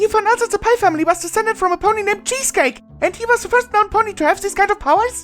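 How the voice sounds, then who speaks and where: Using a put-on character voice at an extremely high pitch, a man rattles along very fast over faint music in the background. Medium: read story.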